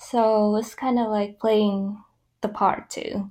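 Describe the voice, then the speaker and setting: A woman with a Vietnamese accent speaks at a fairly slow pace. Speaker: graduate student. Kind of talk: casual chat.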